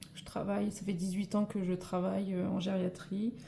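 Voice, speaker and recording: A woman's medium-pitched voice, fairly slow, with monotone, flat intonation. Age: 40s. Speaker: nurse and budgeting vlogger. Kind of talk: tutorial. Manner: hesitant, many fillers.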